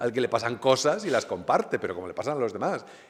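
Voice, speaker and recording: His pitch ranges very widely as this man talks from a middle register. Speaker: novelist. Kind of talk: book presentation talk. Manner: halting with fillers.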